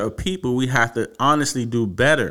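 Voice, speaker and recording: Speaking with an American accent and a plain, everyday voice, a man talks at a fairly slow pace at medium pitch with ordinary pitch variation, on a very clean recording with a silent background. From Washington, D.C. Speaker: podcast host. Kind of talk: solo commentary. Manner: casual, with fillers.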